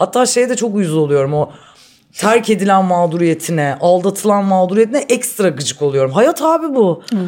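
Moderately paced female speech with pitch that leaps and dips very widely. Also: medium pitch for a woman. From Istanbul, Turkey. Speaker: guest. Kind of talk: casual chat.

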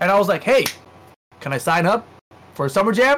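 A man at a high pitch and a very fast pace. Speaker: fighting game commentator, podcast co-host. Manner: fast talker.

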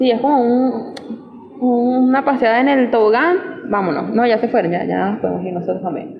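A high-pitched woman with lively intonation, against audible room echo and noticeable background noise. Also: moderate pace. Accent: Caracas Venezuelan. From Venezuela, Caracas. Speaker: podcast co-host. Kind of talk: casual chat.

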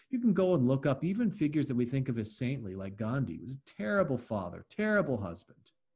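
Very fast and with hardly any pauses, a man talks in a somewhat breathy voice whose pitch swings very widely. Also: medium pitch for a man. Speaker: podcast host. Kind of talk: casual interview chat.

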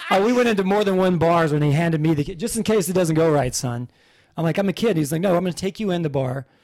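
This talker goes very fast. Pitch rises and falls in an ordinary way. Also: man. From Kentucky. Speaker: stand-up comedian and author. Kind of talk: casual interview chat. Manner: animated.

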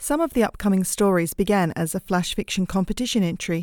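A woman with an Australian accent talks at a fairly quick pace in a medium pitch with ordinary variation, the sound dry and close with no echo on a very clean recording against a silent background. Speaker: podcast host and author. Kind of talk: scripted narration, podcast intro.

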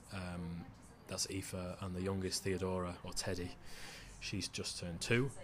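With a Mancunian accent, a man speaks at a very deep, low pitch in a monotone, flat intonation. His pace is fairly slow, with long, frequent pauses. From Manchester, northern England. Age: 30s. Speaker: author. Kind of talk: casual chat.

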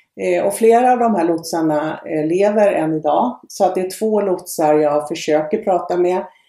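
A moderate pace with hardly any pauses. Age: 60s. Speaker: relative of a shipwreck victim. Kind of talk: interview.

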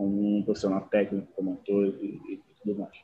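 The man speaks at a fairly low pitch. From Angola. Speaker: actor and producer. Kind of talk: interview conversation. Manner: halting, many repetitions.

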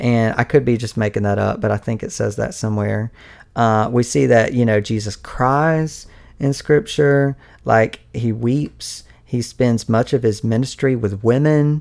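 A man of medium pitch talks at a fairly slow pace, with ordinary pitch variation. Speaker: faith podcast host. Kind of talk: solo podcast monologue. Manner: casual, many fillers and laughs.

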